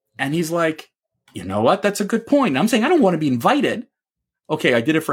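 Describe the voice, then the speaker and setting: A man speaks at a very fast pace in a fairly high pitch, with vocal fry. His pitch swings very widely. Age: 50s. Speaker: sales executive and podcast host. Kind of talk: angry opinion rant against the school system. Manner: heated, fast and emphatic, talking over his co-host.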